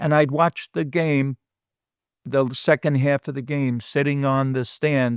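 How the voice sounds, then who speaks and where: A man with a New York accent speaks at a fairly slow pace in a fairly high voice. The recording is very clean with a silent background and a dry, close sound with no echo. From New York City (Bronx). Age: 70s. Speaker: guest recalling his childhood. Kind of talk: casual interview chat.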